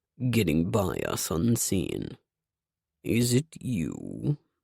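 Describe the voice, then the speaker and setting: In a put-on character voice, a man speaks at fairly low pitch and a very slow pace, his pitch swinging very widely. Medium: read story. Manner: slow, calm, ponderous.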